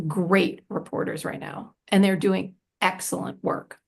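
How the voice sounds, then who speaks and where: Her tone is animated. The woman speaks at a fairly slow pace. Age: 60s. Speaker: prison radio organization director. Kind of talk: panel discussion Q&A. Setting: live Zoom webinar.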